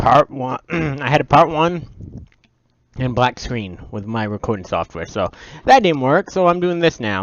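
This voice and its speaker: A man speaks at a fairly slow pace in a fairly high pitch, his voice making very wide pitch swings. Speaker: gaming youtuber. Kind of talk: let's play commentary.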